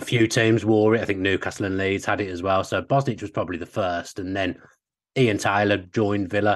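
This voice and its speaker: A man speaks with a Birmingham accent, a fairly low pitch and fairly even intonation. His pace is fairly quick against a quiet background. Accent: Birmingham (Brummie). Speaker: sports broadcaster and journalist. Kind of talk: casual chat.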